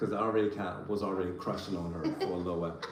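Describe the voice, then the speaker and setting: Recorded with audible room echo and noticeable background noise, a man speaks in an American accent. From Virginia, Richmond area. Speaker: family vlogger. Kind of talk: casual chat.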